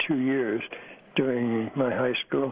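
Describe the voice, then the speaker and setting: Speaking at a moderate pace with a Canadian accent, a man is heard over noticeable background noise. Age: 80s+. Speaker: war veteran. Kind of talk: radio interview.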